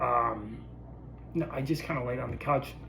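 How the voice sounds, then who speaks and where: Audible room echo surrounds a man who talks at a moderate pace with fairly even intonation. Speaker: vlogger sharing illness experience. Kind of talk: personal video diary. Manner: casual, many filler words.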